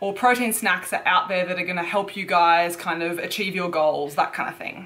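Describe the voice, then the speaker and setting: There is noticeable background noise. Over it, a woman talks with an Australian accent. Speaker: fitness YouTuber. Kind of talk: product review vlog. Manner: casual, chatty.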